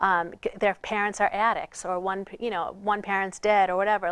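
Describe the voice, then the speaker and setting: A woman with a Boston accent speaks at a fairly quick pace with medium pitch and fairly even intonation. The recording is very clean with a silent background and a dry, close sound with no echo. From Boston area, Massachusetts. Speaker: author and trafficking survivor. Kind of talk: interview testimony. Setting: TV studio.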